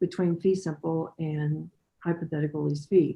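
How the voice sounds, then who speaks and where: This woman's voice is somewhat breathy, with fairly even intonation. She talks at a fairly quick pace. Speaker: attorney. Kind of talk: oral argument before appeals court. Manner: fast. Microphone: audio cutting out.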